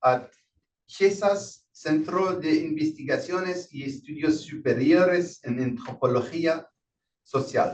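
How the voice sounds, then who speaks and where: This man has a French accent and a fairly high pitch. He talks at a fairly slow pace with lively intonation. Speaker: session moderator. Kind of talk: speaker introduction. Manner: halting.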